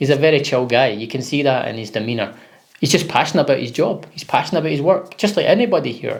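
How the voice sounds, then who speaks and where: A man's fairly high voice, very fast and with lively intonation. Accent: Scottish. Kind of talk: casual talk to camera.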